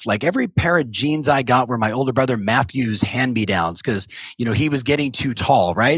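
At a fairly quick pace, a man speaks with an American accent. His medium-pitched voice has lively intonation. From US West Coast. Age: 50s. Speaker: real estate coach. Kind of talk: interview. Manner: fast.

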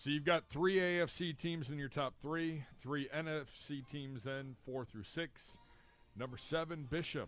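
Music plays in the background as a man with an American accent speaks. His pitch is fairly high and his pace fairly slow. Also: ordinary pitch variation. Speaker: sports radio producer. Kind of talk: casual sports talk. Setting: studio.

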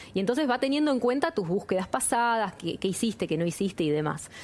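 Fairly high-pitched female voice, pitch swinging very widely up and down. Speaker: industry business leader. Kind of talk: interview.

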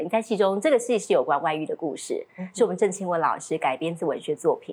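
Very wide pitch swings mark this woman's medium-pitched voice as she speaks at a very fast pace. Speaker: talk show host. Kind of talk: interview.

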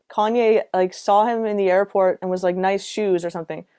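In a very clean recording with a silent background and a dry, close sound with no echo, a woman with a medium pitch and a dark, mellow tone talks at a moderate pace. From Canada, Halifax, Nova Scotia. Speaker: singer-songwriter. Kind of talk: casual chat.

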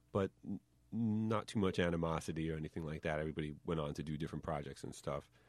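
A man's very deep, low voice with a New York accent, at a very fast pace. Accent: New York, noticeable. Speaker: lawyer and rapper.

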